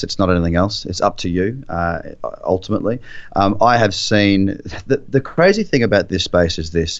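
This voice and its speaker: Lively intonation at a moderate pace, with an Australian accent. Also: man. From Queensland, Australia. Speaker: trader and trading mentor. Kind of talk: interview.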